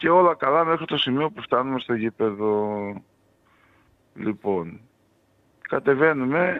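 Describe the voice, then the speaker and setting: Speech comes at a fairly slow pace with long, frequent pauses and very wide pitch swings. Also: man, medium pitch for a man. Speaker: football fan. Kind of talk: interview.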